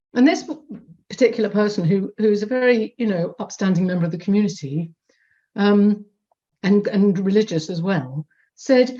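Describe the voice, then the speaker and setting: Somewhat breathy and dark, mellow in tone, a woman at a medium pitch talks at a moderate pace with lively intonation and long, frequent pauses. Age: 50s. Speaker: audience member at online report launch. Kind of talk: audience comment in Q&A. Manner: halting, many repetitions and fillers.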